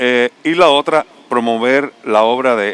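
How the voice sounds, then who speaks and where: Noticeable background noise runs throughout. The speaker's intonation is fairly even. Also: man. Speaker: visual artist. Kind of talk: panel discussion.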